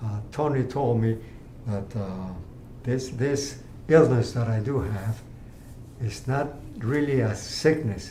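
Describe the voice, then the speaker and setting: A man speaks at a medium pitch and a very slow pace, with long, frequent pauses and ordinary pitch variation. Audible room echo and noticeable background noise are present. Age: 80s+. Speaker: cancer patient. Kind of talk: testimony. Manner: halting.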